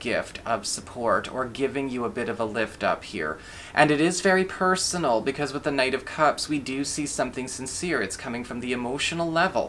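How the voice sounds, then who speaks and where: The man's voice sits at a fairly high pitch with lively intonation. He talks at a fairly quick pace. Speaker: tarot reader. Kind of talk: tarot reading monologue.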